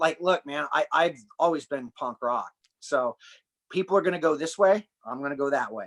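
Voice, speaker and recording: With an American accent, a man speaks in an unremarkable speaking voice at a fairly high pitch and moderate pace, with ordinary pitch variation and a dry, close sound with no echo. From United States. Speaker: human performance and breathing coach. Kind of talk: podcast interview conversation.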